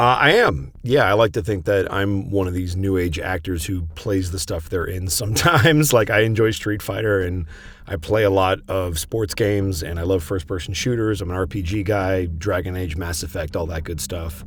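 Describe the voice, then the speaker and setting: Over noticeable background noise, a man talks at a moderate pace with hardly any pauses. His pitch is very deep and low, with ordinary variation. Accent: American. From US Midwest, Chicago. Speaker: voice actor. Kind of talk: podcast interview. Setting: remote call on Discord.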